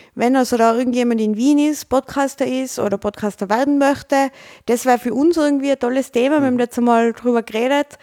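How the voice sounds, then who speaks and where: A woman with an Austrian accent talks very fast in a high pitch, her tone dark and mellow and her intonation fairly even, in a very clean recording with a silent background and a dry, close sound with no echo. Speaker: podcast host. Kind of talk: casual chat.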